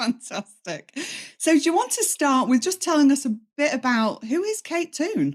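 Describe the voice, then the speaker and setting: With a northern English accent, a woman speaks at a high pitch that moves in very wide swings. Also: moderate pace. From northern England. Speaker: podcast host and business coach. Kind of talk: podcast interview.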